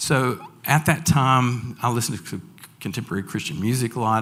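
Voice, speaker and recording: A man speaks with a Southern US accent. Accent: Southern American. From Franklin, Tennessee. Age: 60s. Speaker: school staff member. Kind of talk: personal testimony talk to an audience.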